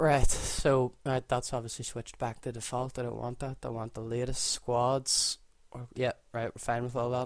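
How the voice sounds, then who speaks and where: A man with a Northern Irish accent speaks at a moderate pace and medium pitch. His intonation is monotone and flat. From Northern Ireland. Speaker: gaming YouTuber. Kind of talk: gameplay commentary. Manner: casual, filler-heavy.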